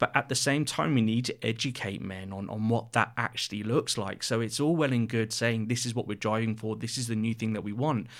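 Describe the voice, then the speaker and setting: Fairly quick and fairly even in intonation, a man speaks at medium pitch in a very clean recording with a silent background. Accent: southern English. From Reading, southern England. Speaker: charity CEO. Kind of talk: casual interview chat.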